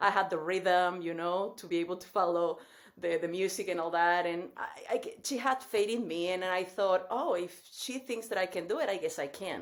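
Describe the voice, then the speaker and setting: A woman speaks at a moderate pace. Her pitch sits in the middle range, with ordinary variation. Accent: Mexican. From Mexico. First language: Spanish. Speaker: dance fitness instructor. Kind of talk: podcast interview.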